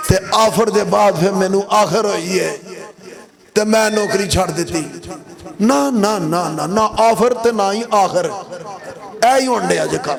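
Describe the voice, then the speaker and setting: With audible room echo and noticeable background noise, a high-pitched man speaks with ordinary pitch variation and long, frequent pauses. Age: 60s. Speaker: pastor. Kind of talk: sermon.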